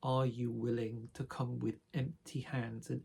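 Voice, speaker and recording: A man's somewhat breathy, medium-pitched voice at a very slow pace. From northern England, Sheffield, South Yorkshire. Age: 60s. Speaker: spiritual vlogger. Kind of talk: personal reflective monologue. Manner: hesitant, with fillers.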